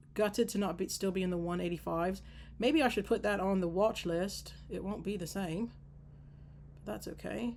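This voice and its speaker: Vocal fry runs through a woman's voice at a moderate pace. Her pitch variation is ordinary. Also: medium pitch for a woman. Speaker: stock options trader streaming live. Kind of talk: live trading commentary. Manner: animated.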